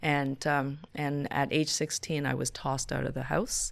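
The background is silent on this very clean recording. A woman talks. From Toronto, Canada (born Hong Kong). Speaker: city councillor. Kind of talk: interview. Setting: city hall office.

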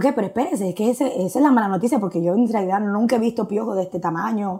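A woman's unremarkable speaking voice, fairly high in pitch, at a fairly quick pace with lively intonation. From Dominican Republic, Santo Domingo. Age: 40s. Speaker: churchgoer sharing testimony. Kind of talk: testimony.

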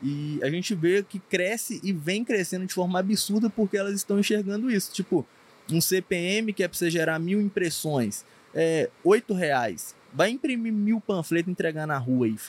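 A man talks at a moderate pace with a high pitch and lively intonation. The sound is dry and close, with no echo. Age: 20s. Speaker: paid traffic marketing expert. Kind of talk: casual podcast interview.

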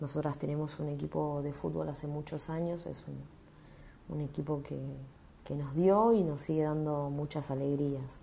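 Amid audible room echo, a woman speaks in a very deep, low pitch with a dark, mellow tone and fairly even intonation. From Argentina, Bragado (Buenos Aires province). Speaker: bank employee and union member. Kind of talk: personal testimony.

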